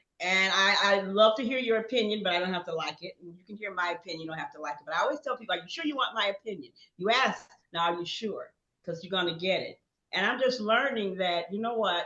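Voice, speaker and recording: Talking at a very fast pace, a woman with an American accent keeps a medium pitch. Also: ordinary pitch variation. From Chicago. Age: 70s. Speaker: workshop participant. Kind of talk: casual group discussion. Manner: animated.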